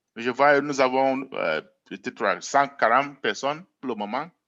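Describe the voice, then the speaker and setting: Speaking at a fairly slow pace, a man has a fairly high pitch and a bright, sharp tone. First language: English (speaking French). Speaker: network marketing presenter. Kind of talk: sales pitch. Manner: hesitant, repeats words.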